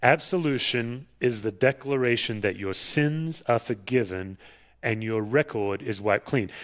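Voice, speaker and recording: Over a very clean recording with a silent background, a man with an Australian accent speaks at a fairly slow pace, his medium pitch showing ordinary variation. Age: 50s. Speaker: pastor. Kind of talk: sermon. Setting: church.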